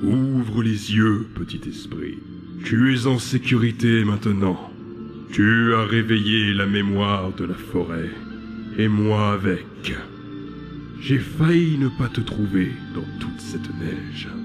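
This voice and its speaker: A put-on character voice from a man, fairly low and fairly slow, over clear music in the background. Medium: fan dub. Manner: calm, solemn.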